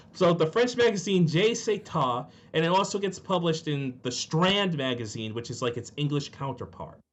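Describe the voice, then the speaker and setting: In a Rhode Island accent, a man speaks with a high pitch. His pace is moderate and his intonation lively. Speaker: podcast co-host. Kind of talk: casual chat.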